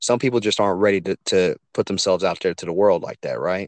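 Against a quiet background, a man with a Louisiana accent and a fairly low pitch talks at a fairly quick pace, with a dry, close sound with no echo. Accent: Louisiana Southern US. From Louisiana, US South. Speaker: podcaster and truck driver. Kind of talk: casual interview chat. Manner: animated.

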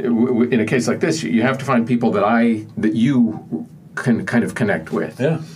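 A medium-pitched man with an American accent at a fairly slow pace, in audible room echo. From Pennsylvania (Johnstown). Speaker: author. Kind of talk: interview.

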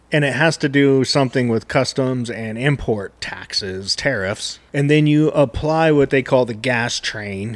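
A man with an American accent speaks fairly slowly in an ordinary speaking voice, his medium pitch rising and falling in an ordinary way. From US West, Reno, Nevada. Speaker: barbecue podcast co-host and smoker builder. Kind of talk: casual chat.

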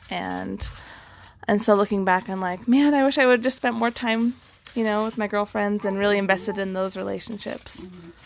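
A woman with an American accent, an ordinary speaking voice, medium pitch, ordinary pitch variation and a moderate pace. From western United States. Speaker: divorced guest sharing her story. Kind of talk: personal testimony in interview.

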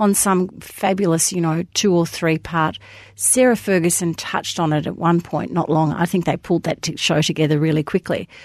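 Talking at a fairly quick pace, a woman with an Australian accent has a fairly low pitch, recorded with a dry, close sound with no echo. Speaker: podcast co-host. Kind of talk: casual chat. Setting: studio.

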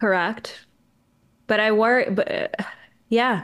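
The speaker talks at a fairly slow pace with a Canadian accent. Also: woman. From Canada. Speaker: journalist and author. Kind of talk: casual chat. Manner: soft-spoken; hesitant, qualifying.

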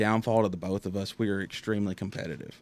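Speaking at a very fast pace in a Southern US accent, a man comes through on a very clean recording with a silent background. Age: 20s. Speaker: race car driver. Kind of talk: interview. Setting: studio.

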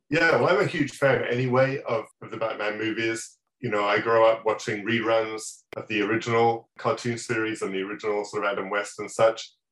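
Speaking at a fairly quick pace, a man with an English accent and medium pitch keeps his intonation fairly even. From England. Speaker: toy designer. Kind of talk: interview.

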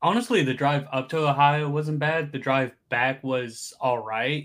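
The recording is very clean, with a silent background. A plain, everyday voice talks at a fairly slow pace. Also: man. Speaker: podcast guest, streamer. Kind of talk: casual chat.

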